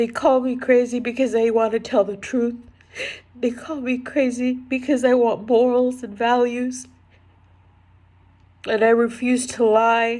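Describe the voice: Her pitch fairly high and barely moving, a woman with a slightly mellow tone speaks at a fairly slow pace.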